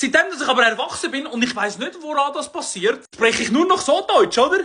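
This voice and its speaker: Extremely high-pitched man's voice, raised and projected, animated, with lively intonation and a bright, sharp tone at a moderate pace. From Switzerland. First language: Swiss German (speaking German). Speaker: comedian. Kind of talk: comedic monologue.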